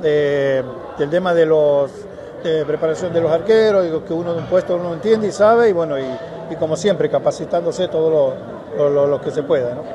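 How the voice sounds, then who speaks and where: Noticeable background noise runs under a man's fairly quick speech, his pitch moving with ordinary variation. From Argentina, Santiago del Estero (La Banda); Argentina. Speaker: goalkeeping coach, former goalkeeper; goalkeeping coach. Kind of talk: interview. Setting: stadium. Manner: halting. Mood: warm, glad to be back. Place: stadium. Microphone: handheld.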